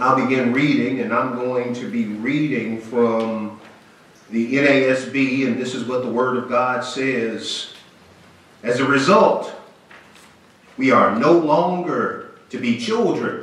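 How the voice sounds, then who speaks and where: A man at a very slow pace with ordinary pitch variation and audible room echo. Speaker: pastor. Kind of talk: sermon. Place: church.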